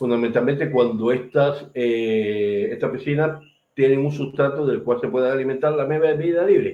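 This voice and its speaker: A man speaks with a fairly high pitch and ordinary pitch variation. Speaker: medical lecturer. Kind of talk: lecture. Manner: fast.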